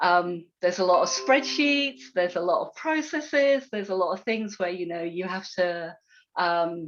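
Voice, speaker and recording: A woman at medium pitch and moderate pace, with very wide pitch swings and big swings in loudness. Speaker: software testing panelist. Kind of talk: panel talk.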